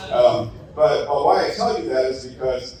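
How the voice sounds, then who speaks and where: Moderate-paced speech from a man, amid noticeable background noise and audible echo of the room. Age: 60s. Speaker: conference speaker, IT executive. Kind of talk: conference presentation. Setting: stage with audience. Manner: conversational, engaging audience.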